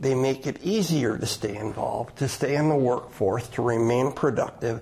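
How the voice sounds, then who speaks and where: Speaking at a moderate pace, a man with an unremarkable speaking voice keeps a medium pitch and ordinary pitch variation. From Madison, Wisconsin. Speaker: retired state official. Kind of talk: radio interview.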